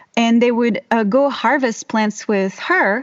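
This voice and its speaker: In a French accent, a woman speaks at a fairly slow pace and a fairly high pitch, her pitch varying in an ordinary way. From France. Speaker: herbalist and voiceover artist. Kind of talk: casual interview. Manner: halting, many fillers.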